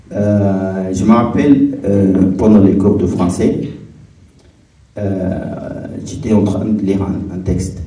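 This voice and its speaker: In a room with audible echo and noticeable background noise, a man with a non-native accent speaks very slowly at a fairly low pitch with fairly even intonation. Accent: non-native French, struggles with R sounds. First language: not French; speaks English, another mother tongue (speaking French). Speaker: refugee/newcomer giving testimony. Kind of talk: testimony talk on stage. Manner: halting, many hesitations.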